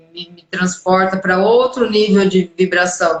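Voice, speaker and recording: The woman's medium-pitched voice stays in a flat monotone. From Brazil. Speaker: live stream host. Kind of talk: casual live interview chat.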